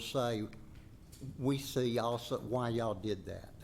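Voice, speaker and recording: A Southern US accent at a fairly slow pace, ordinary pitch variation and audible room echo. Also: man. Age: 80s+. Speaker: resident speaking at public hearing. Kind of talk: public comment at planning meeting.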